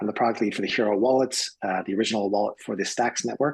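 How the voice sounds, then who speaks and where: A man with an American accent talks very fast in a fairly low voice with fairly even intonation. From US West Coast (San Francisco). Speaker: product lead at a crypto company. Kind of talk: panel discussion.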